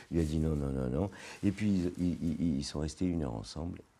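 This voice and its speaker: A man speaks with a very deep, low pitch and a dark, mellow tone. His pace is fairly quick. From France, grew up in a housing estate. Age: 60s. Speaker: business executive. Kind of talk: podcast interview. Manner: hesitant, many repetitions.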